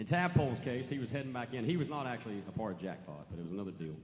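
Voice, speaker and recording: In an American accent, a man talks very fast at a medium pitch with very wide pitch swings and vocal fry. Audible room echo surrounds his voice. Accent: country twang. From western North Carolina mountains. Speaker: country singer-songwriter. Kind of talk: stage banter between songs. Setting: live stage with audience. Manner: casual, folksy.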